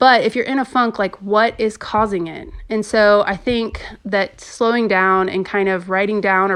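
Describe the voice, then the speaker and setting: At a moderate pace, a woman speaks with a plain, everyday voice at medium pitch and fairly even intonation. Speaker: podcast host. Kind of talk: casual solo podcast talk.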